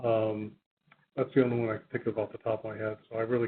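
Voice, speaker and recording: A man speaks at a very fast pace. His pitch is medium and his intonation monotone and flat. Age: 70s. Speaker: public health professor. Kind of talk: webinar Q&A. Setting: audio-only webinar.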